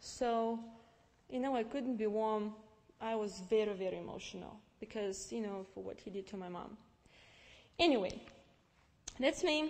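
A woman's fairly high voice in a Russian accent, at a moderate pace with ordinary pitch variation, big swings in loudness and long, frequent pauses. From Russia, Novosibirsk (Siberia). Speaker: immigrant giving testimony; guest. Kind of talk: testimony with slide presentation. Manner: halting, many fillers. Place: church. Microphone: headset.

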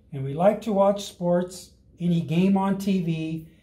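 The warm, dark and mellow voice moves at a fairly slow pace with ordinary pitch variation, and room echo can be heard. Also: man. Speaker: fire rescue operations chief and grandfather. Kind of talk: children's story read-aloud over video call. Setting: video call from home. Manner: warm, friendly, conversational. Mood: warm, gentle. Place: meeting room. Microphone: camera far.

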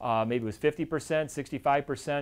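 Pitch varies in an ordinary way as this man speaks. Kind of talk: educational presentation. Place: office. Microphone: lapel.

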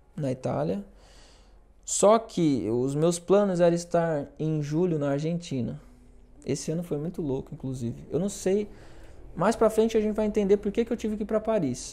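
A man with a high pitch and a dark, mellow tone speaks at a moderate pace with lively intonation. He leaves long, frequent pauses. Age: 30s. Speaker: orchestra conductor and violist; guest. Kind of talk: casual chat. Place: studio. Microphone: lapel.

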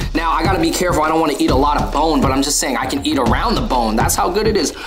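A man's voice over clear music in the background. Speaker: food vlogger. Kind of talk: casual vlog chat.

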